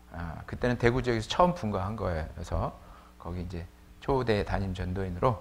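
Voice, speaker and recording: There is audible room echo as a man with a fairly low pitch talks at a fairly quick pace. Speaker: preacher. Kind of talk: sermon. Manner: casual, with many fillers.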